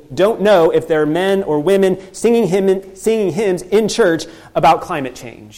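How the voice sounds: The clip offers a natural reading voice whose pitch varies in an ordinary way.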